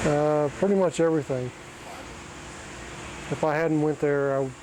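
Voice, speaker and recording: A man with an American accent speaks at a fairly high pitch over noticeable background noise. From Oklahoma. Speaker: auto body technician. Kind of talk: interview. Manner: halting.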